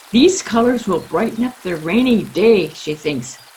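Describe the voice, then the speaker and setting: A woman speaks at a fairly slow pace with a fairly high voice and lively intonation. Noticeable background noise runs underneath. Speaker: author reading her own children's book. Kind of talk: children's story reading.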